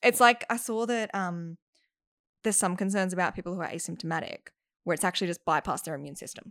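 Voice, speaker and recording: The sound is dry and close with no echo. A woman talks with ordinary pitch variation and big swings in loudness. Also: very clean recording, silent background. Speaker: actor and singing teacher. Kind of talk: casual chat.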